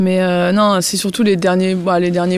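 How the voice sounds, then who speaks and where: Speaking at a moderate pace, a woman uses a medium pitch. Background noise is noticeable. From northern France. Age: 30s. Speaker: retired professional tennis player. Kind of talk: interview. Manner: halting, many fillers.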